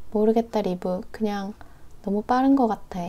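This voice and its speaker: Soft-spoken, a woman talks at a moderate pace with fairly even intonation. Her tone is dark and mellow, her pitch fairly high. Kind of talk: novel reading. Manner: soft-spoken, quiet.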